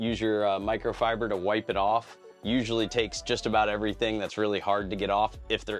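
A man talks at a very fast pace with hardly any pauses and a fairly low pitch. His intonation stays monotone and flat over faint background music. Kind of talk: interview answer. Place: boat. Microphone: lapel.

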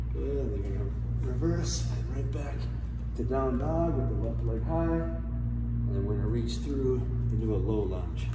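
With music in the background and audible room echo, a man talks at a moderate pace, pausing long and often. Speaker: yoga instructor. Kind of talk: tutorial. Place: gym. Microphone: camera far.

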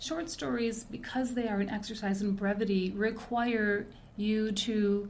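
Somewhat breathy, with a dark, mellow tone, a woman speaks at a fairly high pitch with ordinary pitch variation amid audible room echo. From Detroit (Hamtramck), US Midwest. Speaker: fiction writer and creative writing teacher. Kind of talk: interview.

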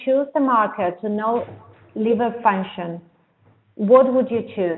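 A woman's fairly high-pitched voice with a Spanish accent. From Argentina. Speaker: Spanish-language co-host. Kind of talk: reading out audience questions. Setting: remote webinar call.

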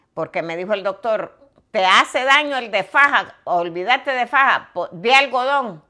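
A woman's fairly high, bright, sharp voice with lively intonation, over a quiet background. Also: fairly slow pace. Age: 70s. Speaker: vlogger. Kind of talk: casual interview conversation. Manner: humorous, frank, uses profanity. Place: home room. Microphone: lapel.

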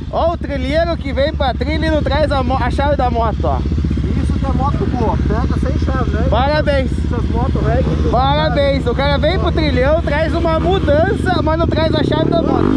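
The speech moves at a moderate pace in a dry sound with no echo, under loud background noise. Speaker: trail rider vlogger. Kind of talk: casual vlog chat. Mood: joking, playful teasing. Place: open country. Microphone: helmet.

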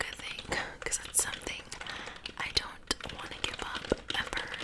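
Very slow whispering from a woman, with noticeable background noise around her. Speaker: ASMR YouTuber. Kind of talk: ASMR whisper ramble to camera. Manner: whispered, soft.

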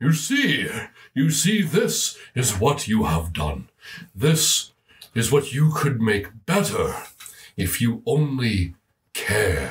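In a put-on character voice at a medium pitch, a man speaks at a very slow pace with long, frequent pauses. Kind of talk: game-master performing an NPC. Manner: scolding, reproachful, accusing.

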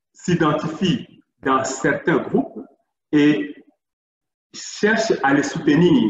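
A man talks very slowly in a fairly high pitch with lively intonation. The room echo is audible, and the background is quiet. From Democratic Republic of the Congo. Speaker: NGO worker; presenter. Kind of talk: presentation. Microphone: video call.

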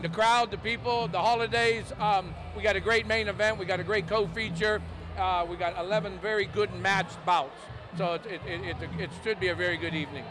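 The speech keeps a moderate pace. Noticeable background noise runs underneath. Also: man, high pitch for a man, fairly even intonation. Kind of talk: interview answer. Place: hall. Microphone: handheld.

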